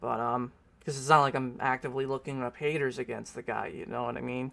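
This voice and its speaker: This man talks at a fairly quick pace in a medium pitch. His intonation is flat and monotone. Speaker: commentary YouTuber. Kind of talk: casual vlog monologue. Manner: halting, with fillers and restarts.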